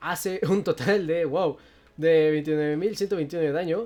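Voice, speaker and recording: The speaker uses an animated tone with ordinary pitch variation. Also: woman. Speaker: gaming youtuber. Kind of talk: gameplay tutorial. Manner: fast.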